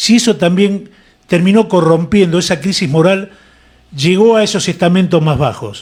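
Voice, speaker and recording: High male voice, its pitch varying in an ordinary way. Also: moderate pace. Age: 60s. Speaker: radio host, former uniformed serviceman. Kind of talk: radio interview.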